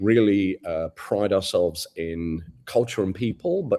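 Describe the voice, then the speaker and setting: Very deep and low, a man's voice has a dark, mellow tone and an English accent. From England. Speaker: advertising agency CEO. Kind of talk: interview.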